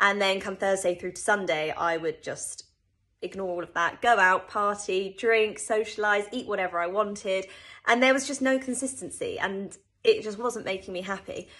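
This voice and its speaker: Heard against a quiet background, a British accent comes through in a bright, sharp tone at a moderate pace with ordinary pitch variation. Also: woman, medium pitch for a woman. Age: 20s. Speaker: personal trainer. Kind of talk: testimony. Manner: casual, conversational. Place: home room. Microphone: phone near.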